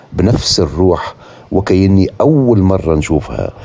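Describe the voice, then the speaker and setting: The speaker talks at a very slow pace with a Tunisian accent and ordinary pitch variation. Noticeable background noise runs underneath. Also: man. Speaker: travel vlogger. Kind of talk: walking tour vlog narration. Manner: casual, spontaneous with hesitations.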